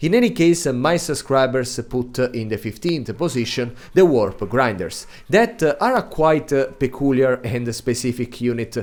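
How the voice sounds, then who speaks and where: This man has an Italian accent and ordinary pitch variation. He speaks at a fairly slow pace. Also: medium pitch for a man. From Italy. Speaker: video game content creator. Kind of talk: gaming guide commentary. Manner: hesitant, many filler sounds.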